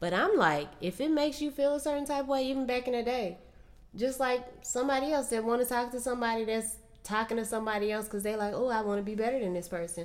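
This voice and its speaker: Over noticeable background noise, a woman speaks at a very fast pace with lively intonation. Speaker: podcast co-host. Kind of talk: casual chat. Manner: soft-spoken.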